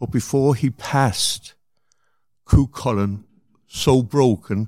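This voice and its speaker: Recorded very cleanly against a silent background, a man speaks with a Cork accent. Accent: Cork Irish. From Cork, Ireland. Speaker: artist's brother. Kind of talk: interview storytelling.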